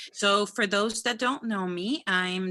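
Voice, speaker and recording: In a Spanish accent, a woman speaks fairly slowly with a bright, sharp tone and ordinary pitch variation. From Dominican Republic. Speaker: physician. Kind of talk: career talk to students.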